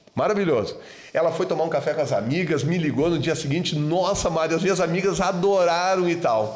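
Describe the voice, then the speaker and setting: A man with a high pitch talks at a fairly quick pace with ordinary pitch variation. Audible room echo surrounds his voice. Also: very even loudness. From southern Brazil, Rio Grande do Sul (Serra Gaúcha). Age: 50s. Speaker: dentist. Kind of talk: casual chat.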